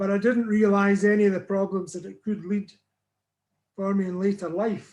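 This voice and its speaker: A man's high-pitched voice in a Northern Irish accent, with monotone, flat intonation at a moderate pace. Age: 70s. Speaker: weight loss client sharing his story. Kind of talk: interview testimony.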